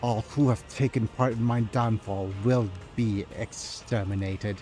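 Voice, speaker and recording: Using a hissing, menacing put-on character voice, a man speaks at a medium pitch and moderate pace with fairly even intonation and very even loudness, over clear background noise. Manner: hissing through clenched teeth, menacing.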